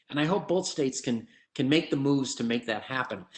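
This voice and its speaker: This is an unremarkable speaking voice. The intonation is lively. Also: man. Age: 60s. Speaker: economist presenter at a forum. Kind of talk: presentation with slides. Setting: virtual event.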